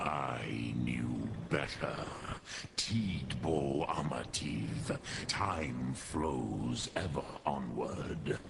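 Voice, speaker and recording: A man puts on a character voice in a solemn tone. Clear background noise can be heard. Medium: video game. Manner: slow, solemn, mixing dragon words.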